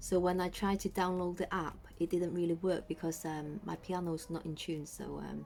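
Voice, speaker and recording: A woman with a British accent speaks at a fairly low pitch in a monotone, flat intonation. Her moderate pace has hardly any pauses, and the recording is very clean with a silent background. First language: Cantonese. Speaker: YouTuber. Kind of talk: casual product review vlog. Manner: hesitant, many fillers.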